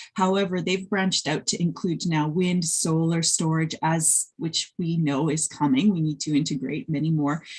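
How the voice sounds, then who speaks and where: A woman with a fairly low, somewhat breathy voice talks at a moderate pace with fairly even intonation and hardly any pauses. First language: Polish. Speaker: wind energy researcher and industry professional. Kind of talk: conference presentation. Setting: webinar video call. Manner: hesitant with fillers.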